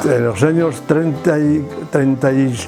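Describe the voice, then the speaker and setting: A man's fairly high voice with fairly even intonation, over music in the background. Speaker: grandfather telling life stories. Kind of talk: storytelling interview.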